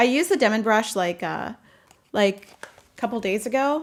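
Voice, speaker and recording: A woman at a fairly high pitch, with ordinary pitch variation and a moderate pace. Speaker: YouTuber, professional organizer. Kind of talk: casual livestream chat. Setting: livestream with headphones. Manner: halting, many fillers; loud.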